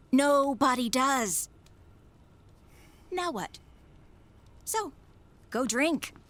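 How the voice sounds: A woman's put-on character voice, high-pitched and fairly bright, with lively intonation at a very slow pace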